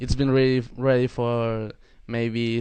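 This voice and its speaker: A man speaks with a Spanish accent at a fairly slow pace. His medium-pitched delivery is monotone and flat. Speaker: metal band member. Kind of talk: casual interview. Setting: live video call. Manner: halting.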